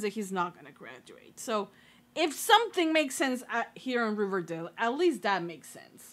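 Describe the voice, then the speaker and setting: A woman with a non-native accent, moderate pace and very wide pitch swings, on a very clean recording with a silent background. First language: not English. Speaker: YouTube TV reaction reviewer. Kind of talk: casual reaction commentary. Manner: casual with many fillers.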